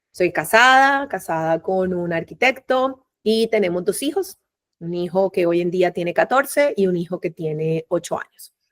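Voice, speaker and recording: Speaking at a medium pitch with lively intonation, a woman with a Caribbean Colombian accent goes at a fairly slow pace, the sound dry and close with no echo. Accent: Colombian Caribbean coastal (costeño). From Colombia, Barranquilla (Caribbean coast). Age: 40s. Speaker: migrant mother, human resources professional. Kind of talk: interview testimony. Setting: video call. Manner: talkative, animated.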